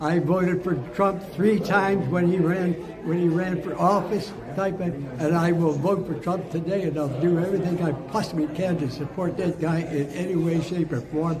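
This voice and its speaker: Amid noticeable background noise and audible room echo, a man with a high pitch talks at a moderate pace. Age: 80s+. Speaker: war veteran. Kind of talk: interview. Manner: loud; animated.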